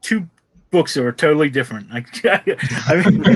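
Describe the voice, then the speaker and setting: Speaking at a moderate pace, a man with a Pittsburgh accent has a fairly high voice and lively intonation. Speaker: comics talk show host. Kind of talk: casual chat.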